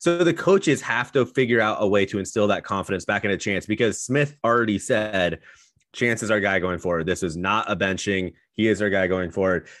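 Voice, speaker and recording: Against a quiet background, an ordinary speaking voice moves at a fairly quick pace with ordinary pitch variation. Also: man, fairly low pitch for a man. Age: young. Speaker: sports podcast co-host. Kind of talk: casual chat.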